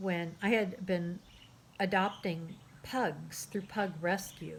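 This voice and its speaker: A woman's fairly low, somewhat breathy voice with fairly even intonation. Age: 60s. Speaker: artist and graphic memoir author. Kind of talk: casual talk to camera.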